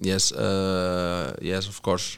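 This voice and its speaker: A man talks in a very deep, low pitch with fairly even intonation. The recording is very clean, with a silent background. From Spain, Catalonia (Barcelona). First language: Catalan/Spanish. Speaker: professional soccer player. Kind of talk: interview. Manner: halting, many fillers and repetitions.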